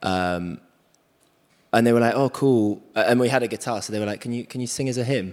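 At a fairly quick pace, the man talks with a medium pitch. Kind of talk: earnest spoken prayer, simple and heartfelt. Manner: soft, sincere and slightly halting, with hesitant fillers.

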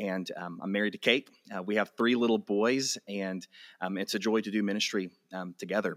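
The speaker has an American accent and talks at a fairly quick pace with fairly even intonation. The sound is dry and close, with no echo. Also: man, fairly low pitch for a man. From West Texas, Amarillo. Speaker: pastor and author. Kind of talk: interview. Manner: halting, frequent fillers and repeats.

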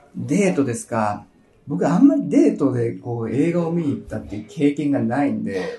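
Background music can be heard. Words come at a moderate pace. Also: man. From Japan, Nagano. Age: 20s. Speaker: English school consultant. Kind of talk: casual interview. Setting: recorded at a language school branch.

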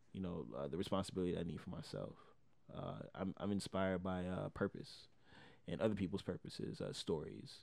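The voice has vocal fry and ordinary pitch variation at a fairly quick pace. The recording is very clean, with a silent background. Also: man, very deep, low pitch for a man. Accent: American. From Miami, Florida. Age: 20s. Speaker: rapper. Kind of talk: casual interview.

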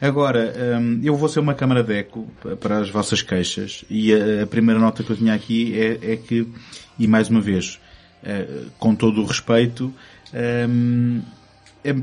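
This is an ordinary speaking voice moving at a moderate pace. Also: man. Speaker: film podcast host. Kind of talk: casual chat.

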